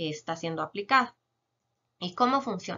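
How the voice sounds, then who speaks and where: Over a quiet background, the speaker's intonation is lively. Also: woman. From Guatemala, San Marcos; Guatemala. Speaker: chemist biologist. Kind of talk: educational Q&A explanation. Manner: frequent filler hesitations. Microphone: webcam.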